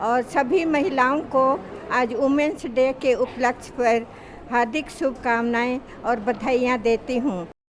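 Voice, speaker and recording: Her pitch is high for a woman, with ordinary pitch variation and very even loudness. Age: 70s. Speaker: chess tournament participant. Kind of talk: interview statement.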